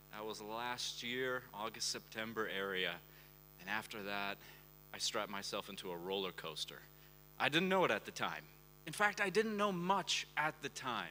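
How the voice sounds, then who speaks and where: Here a man speaks at a moderate pace and medium pitch. His tone is bright and sharp, with very wide pitch swings. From US Pacific Northwest, Portland, Oregon. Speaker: conference speaker, crypto travel reporter. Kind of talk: conference talk. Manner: animated.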